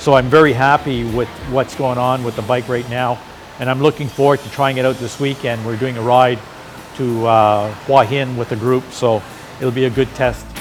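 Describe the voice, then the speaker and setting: A man's medium-pitched voice with a Canadian accent, monotone and flat, at a moderate pace over noticeable background noise. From Canada. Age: 60s. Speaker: motorcycle rider. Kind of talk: interview. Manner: halting.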